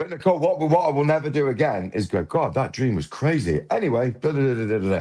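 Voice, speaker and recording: In a British accent, a man speaks very fast with an animated tone, a medium pitch and very wide pitch swings. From England. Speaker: podcast host, guest. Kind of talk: casual chat. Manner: animated, halting with repetitions.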